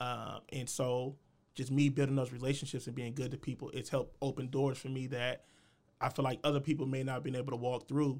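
Speaking with an American accent, this man has a medium pitch and a fairly quick pace. His intonation is monotone and flat. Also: very clean recording, silent background. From US Midwest, Columbus, Ohio. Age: young. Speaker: podcaster. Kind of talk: casual chat.

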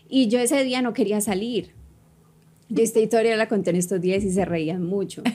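A woman talks at a moderate pace with a fairly high pitch and ordinary pitch variation. It is an ordinary speaking voice. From Colombia (Cali), childhood partly in New York. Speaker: fitness coach and entrepreneur. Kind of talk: casual interview chat. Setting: studio.

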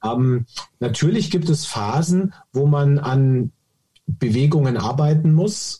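Dry and close with no echo, a man's somewhat breathy, dark, mellow voice sits at a fairly high pitch, moving with ordinary pitch variation at a very slow pace and very even loudness. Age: 40s. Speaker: golf coach and app founder. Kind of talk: interview.

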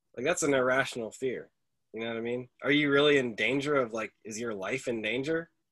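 A man speaks with an unremarkable speaking voice at a medium pitch. His pitch variation is ordinary and his pace fairly quick. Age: 30s. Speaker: podcast host. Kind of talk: casual chat.

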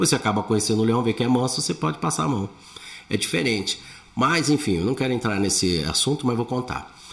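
A man speaks at a very fast pace with lively intonation. His medium-pitched, somewhat breathy voice stays at very even loudness. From Brazil, São Paulo. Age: 60s. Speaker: comedian. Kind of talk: casual chat.

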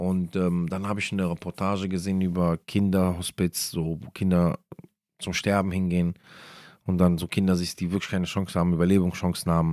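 Fairly quick, monotone, flat delivery on a very clean recording with a silent background. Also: man, very deep, low pitch for a man. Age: 30s. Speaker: Islamic podcast speaker. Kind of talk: religious talk. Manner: hesitant with many fillers.

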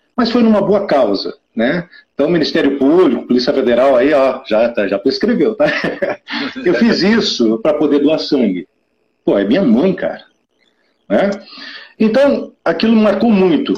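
Pitched high, a man speaks at a fairly slow pace with long, frequent pauses, his pitch swinging very widely while his loudness stays very even. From southern Brazil, Curitiba. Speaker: blood donation campaigner. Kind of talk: casual interview.

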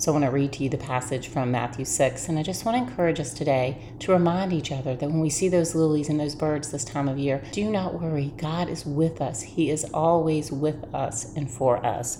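A woman speaks at a fairly quick pace in a very deep, low pitch with a warm, gentle tone. Noticeable background noise is present. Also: ordinary pitch variation. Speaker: devotional host. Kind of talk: fervent prayer, earnest and heartfelt, addressing God directly; devotional talk with scripture reading. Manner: earnest, warm and fervent, gentle devotional delivery; calm, reassuring and encouraging.

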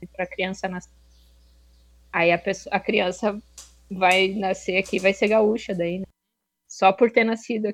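Her intonation flat and monotone, a woman at a medium pitch speaks with long, frequent pauses. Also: moderate pace. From Rio Grande do Sul, southern Brazil. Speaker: master's student. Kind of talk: casual discussion.

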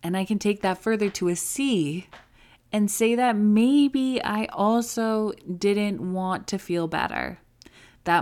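A woman at a very slow pace, on a very clean recording with a silent background. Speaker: recovery podcast host and coach. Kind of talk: solo podcast monologue, with advice and a direct, angry-sounding rant at 6:42.

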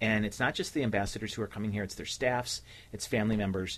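A man with a fairly low pitch speaks at a very fast pace with fairly even intonation. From Cleveland, Ohio. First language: Slovenian (bilingual). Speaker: nonprofit leader, former city official. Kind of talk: radio interview. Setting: radio studio.

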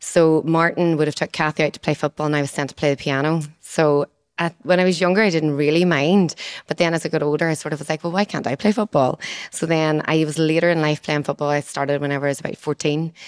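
The speech comes at a very fast pace with fairly even intonation and a Northern Irish accent. The recording is very clean with a silent background, the sound dry and close with no echo. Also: woman, very deep, low pitch for a woman. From Northern Ireland. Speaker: physiotherapist. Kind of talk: casual chat.

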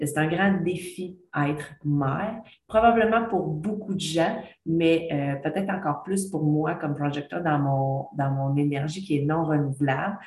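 Somewhat breathy and very deep, a woman's low voice moves at a fairly slow pace with ordinary pitch variation and audible room echo. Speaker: podcast host, former teacher. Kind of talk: casual monologue. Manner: chatty, hesitant with fillers.

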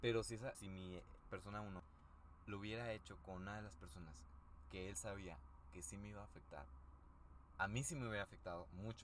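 A man with a Mexican accent talks at a fairly quick pace, his fairly low voice rising and falling with lively intonation and broken by long, frequent pauses. Noticeable background noise and audible room echo fill the recording. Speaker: podcast co-host. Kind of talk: casual chat.

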